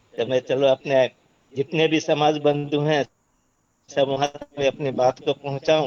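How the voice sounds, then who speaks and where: A man speaks in a fairly high voice. His intonation is monotone and flat. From Bihar, India. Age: 60s. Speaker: webinar participant. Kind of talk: online discussion.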